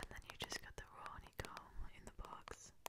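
Whispering, a woman speaks in a playful tone. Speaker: youtuber. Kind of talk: casual talk to camera. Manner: casual, playful, quiet. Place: home room. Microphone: studio mic.

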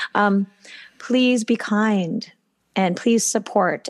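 An unremarkable speaking voice with ordinary pitch variation at a fairly slow pace. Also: woman. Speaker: podcast co-host and gymnastics coach. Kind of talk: casual chat.

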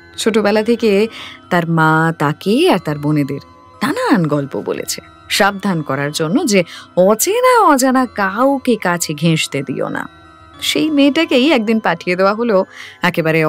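Background music can be heard. Over it, a woman talks. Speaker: radio jockey; audiobook narrator. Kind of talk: audiobook story narration.

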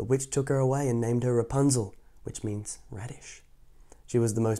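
What we hear is plain reading aloud.

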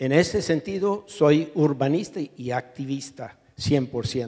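At a very slow pace, a man talks with a fairly high pitch. His tone is dark and mellow. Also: quiet background. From US, New York. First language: English (speaking Spanish). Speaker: urban planning professor, activist; urban planning professor. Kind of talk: panel discussion. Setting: auditorium with audience. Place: hall. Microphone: handheld.

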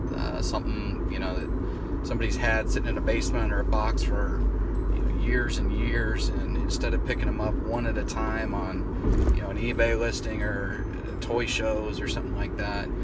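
Over loud background noise, a man speaks at a moderate pace, and the sound is dry with no echo. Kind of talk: casual vlog chat. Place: car. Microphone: phone near.

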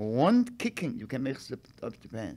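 Speaking at a fairly slow pace, a man with a medium pitch and a dark, mellow tone makes big pitch swings.

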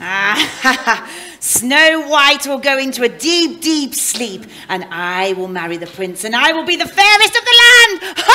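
This is a put-on character voice with a high pitch. It moves at a fairly slow pace and swings very widely in pitch. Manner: wheedling, then triumphant cackling.

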